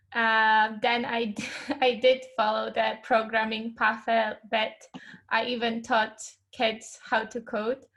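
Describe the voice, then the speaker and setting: Speaking at a very slow pace, a woman with a Polish accent uses a fairly high pitch and monotone, flat intonation. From Poland, Poznań. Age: 20s. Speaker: UX researcher and designer. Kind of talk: casual interview chat.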